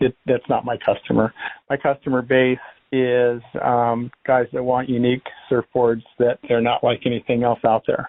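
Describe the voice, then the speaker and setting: At a moderate pace, a man with an American accent speaks in a medium pitch and a flat monotone. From Southern California, South Orange County. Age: 60s. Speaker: surfboard shaper. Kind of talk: interview answers. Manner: casual, filler-heavy.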